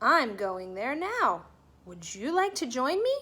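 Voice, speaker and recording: A woman's put-on character voice, high in pitch, with very wide pitch swings at a fairly slow pace. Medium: read story.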